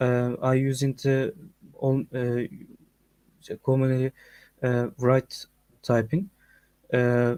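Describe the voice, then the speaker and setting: A man's dark, mellow voice with a Turkish accent, very slow and fairly even, with long, frequent pauses. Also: medium pitch for a man, dry, close sound with no echo. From Turkey. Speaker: game developer and community manager. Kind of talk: video call self-introduction. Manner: halting, many fillers.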